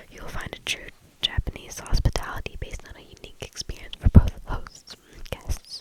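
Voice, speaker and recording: Whispering at a moderate pace, a woman's voice swings widely in loudness over noticeable background noise. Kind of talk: ASMR reading of stories.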